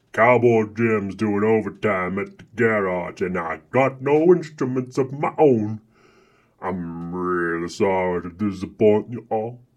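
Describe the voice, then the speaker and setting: A man's fairly low voice at a fairly slow pace, with big swings in loudness against a quiet background. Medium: audio drama. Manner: apologetic, mournful.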